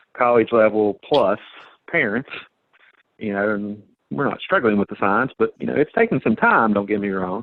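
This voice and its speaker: A man with an American accent talks at a moderate pace in a fairly low pitch, an unremarkable speaking voice. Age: 50s. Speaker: judge. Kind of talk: talk show discussion.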